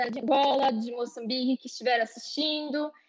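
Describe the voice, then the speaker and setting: A woman talks at a moderate pace in a high voice. Her pitch variation is ordinary, and the background is quiet. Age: 20s. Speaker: university student. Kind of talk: online panel discussion.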